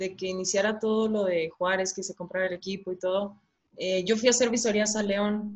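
At a moderate pace, a woman talks at a medium pitch in a flat, monotone intonation. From Chihuahua, northern Mexico. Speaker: professional women's footballer. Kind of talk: casual interview.

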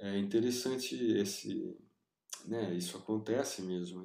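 Ordinary pitch variation shapes this man's fairly slow speech. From Brazil, Piracicaba (São Paulo state interior). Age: 40s. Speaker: illustrator. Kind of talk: interview. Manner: hesitant, many fillers.

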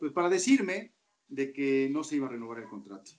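With lively intonation and a plain, everyday voice, a man delivers his words at a moderate pace. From Mexico, Toluca. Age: 40s. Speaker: sports commentator. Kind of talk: interview.

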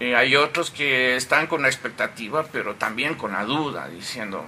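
With a medium pitch, a man speaks using ordinary pitch variation. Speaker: newspaper editor. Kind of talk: casual chat. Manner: calm, soothing.

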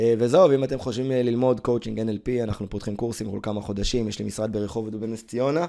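A man speaks at medium pitch with a dark, mellow tone and ordinary pitch variation. His pace is fairly quick, with hardly any pauses. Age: 30s. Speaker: life coach and NLP trainer. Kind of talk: podcast monologue. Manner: animated.

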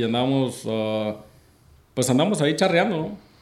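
A medium-pitched man's voice with ordinary pitch variation and audible room echo. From Mexico. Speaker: charreada announcer, former coleador. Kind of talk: casual interview chat.

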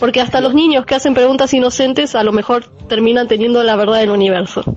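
A high-pitched woman's voice at a very fast pace, with ordinary pitch variation. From Argentina, Buenos Aires. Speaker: radio show guest. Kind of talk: casual panel discussion. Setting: remote connection with own microphone.

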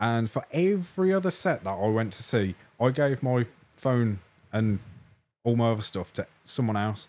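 With an English accent, a man talks at a moderate pace and medium pitch. His intonation is lively, broken by long, frequent pauses. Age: 20s. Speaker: music podcast co-host. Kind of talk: casual chat. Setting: studio.

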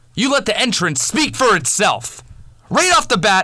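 An angry man speaks in a raised, projected voice with very wide pitch swings. His pace is fairly slow. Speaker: wrestling commentator. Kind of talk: angry rant. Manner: angry, loud, cursing.

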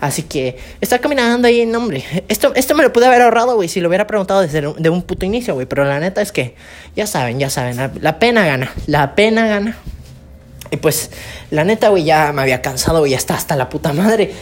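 A woman with a slight Yucatecan accent at a very fast pace, medium in pitch with very wide pitch swings, over noticeable background noise. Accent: picking up Yucatecan accent, slight. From Campeche, Mexico. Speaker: podcaster. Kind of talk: casual storytelling monologue. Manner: casual, slangy.

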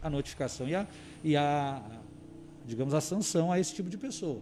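At a fairly quick pace, a man speaks in a dark, mellow tone with a fairly high pitch and ordinary pitch variation. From Camaquã, Rio Grande do Sul, Brazil. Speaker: municipal environment secretary. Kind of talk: radio interview.

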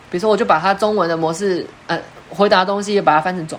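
Over noticeable background noise, a woman talks very fast at a medium pitch with fairly even intonation. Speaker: education researcher and English teacher. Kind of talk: online lecture.

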